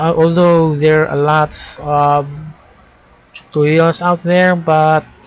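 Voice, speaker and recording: Very deep and low in pitch, a woman speaks at a very slow pace with fairly even intonation. Noticeable background noise is present. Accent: non-native. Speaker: programming tutorial creator. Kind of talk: tutorial. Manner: halting, with self-corrections.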